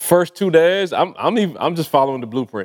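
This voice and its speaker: Here a man talks at a moderate pace with ordinary pitch variation. The sound is dry and close with no echo. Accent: Barbadian. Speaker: podcast co-host, author promoting his book. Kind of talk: casual, slangy. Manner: animated, emphatic.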